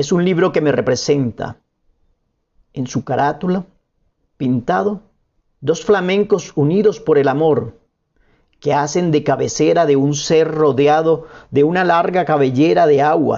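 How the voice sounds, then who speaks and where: A man with fairly high pitch and ordinary pitch variation, at a fairly slow pace with long, frequent pauses. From Colombia, La Guajira. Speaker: poet and painter. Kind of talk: interview with read-aloud prose.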